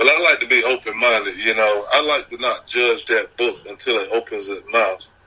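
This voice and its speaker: A man speaks with a Southern US accent at a moderate pace. He leaves hardly any pauses. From South Carolina (Horry County). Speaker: independent music artist. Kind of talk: casual chat.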